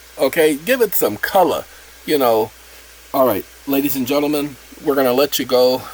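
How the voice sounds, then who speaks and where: A man talks at a moderate pace with long, frequent pauses. Background noise is noticeable. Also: fairly high pitch for a man, ordinary pitch variation. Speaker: channel host explaining a self-made app. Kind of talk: casual tutorial.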